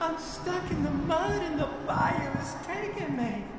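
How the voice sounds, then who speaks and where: A put-on character voice at a fairly slow pace comes through loud background noise and a strong echo. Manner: eerie, pleading for help.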